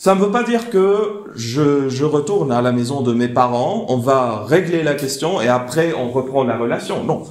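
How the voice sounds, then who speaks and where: This man talks at a fairly slow pace with hardly any pauses, his pitch fairly high and his intonation lively. Room echo is audible, and background noise is noticeable. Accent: non-native. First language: not French (speaking French). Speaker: theologian and speaker. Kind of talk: lecture. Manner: halting.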